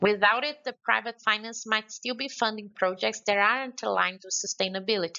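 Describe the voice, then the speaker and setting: This is a woman speaking with a Brazilian accent. Her pitch variation is ordinary. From Brazil, Belo Horizonte. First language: Portuguese. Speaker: conference speaker. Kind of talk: prepared remarks. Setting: remote contribution to a conference session. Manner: halting.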